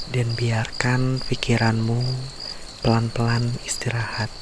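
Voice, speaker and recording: Whispering and soft-spoken, a man talks at a very slow pace against noticeable background noise. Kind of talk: sleep story, bedtime fairy tale reading. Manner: whispered, soft, slow.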